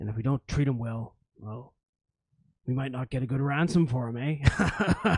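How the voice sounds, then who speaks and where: Using a put-on character voice, a man speaks at a moderate pace and medium pitch with ordinary pitch variation and long, frequent pauses. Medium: actual play. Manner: gruff, rambling.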